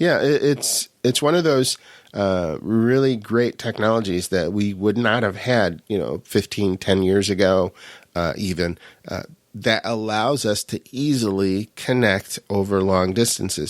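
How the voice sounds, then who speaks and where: A man's fairly low voice with an upstate New York accent. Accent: upstate New York American. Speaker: podcast co-host. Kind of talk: casual chat. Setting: remote recording, different states.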